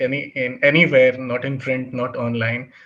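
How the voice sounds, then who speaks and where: Speech comes in a monotone with flat intonation and a Bihar accent. The pace is fairly slow. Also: man. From India, Bihar. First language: Bhojpuri. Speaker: writer and editor. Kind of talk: interview. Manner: halting, many fillers.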